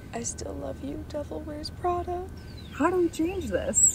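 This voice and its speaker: A woman with an American accent, dry sound with no echo, clear music in the background. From Missouri, Kansas City; Missouri. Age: 20s. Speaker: job applicant. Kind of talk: video job application pitch.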